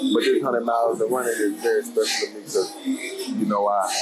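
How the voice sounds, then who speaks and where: Fairly quick speech over clear background music. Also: man. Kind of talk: interview answer. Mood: relaxed, animated. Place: street. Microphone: lapel.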